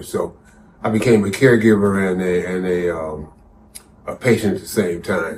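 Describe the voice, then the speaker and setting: Amid audible room echo, a man speaks at a fairly low pitch with fairly even intonation. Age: 60s. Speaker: cancer survivor and advocate. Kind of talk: interview testimony. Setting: on location at a conference. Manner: halting, many fillers.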